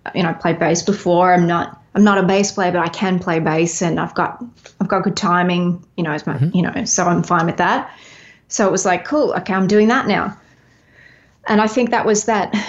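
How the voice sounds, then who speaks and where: A woman's medium-pitched voice moves at a fairly quick clip, its pitch varying in an ordinary way. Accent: Australian. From Australia, Melbourne. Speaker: singer-songwriter and touring musician. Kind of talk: casual interview chat.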